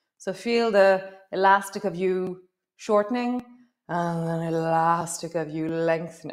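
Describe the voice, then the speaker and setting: A woman speaks in a calm, soothing tone at a medium pitch. Her pace is fairly slow, with ordinary pitch variation. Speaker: yoga teacher. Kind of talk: guided yoga class, live-stream, calm cueing of poses and breath. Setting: live-stream video. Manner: calm, soothing, unhurried, warm, instructive; chatty, with light laughs and reflective asides. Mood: calm, warm, encouraging. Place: home room.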